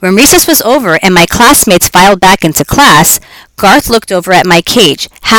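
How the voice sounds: The intonation here is lively. It comes in a natural reading voice.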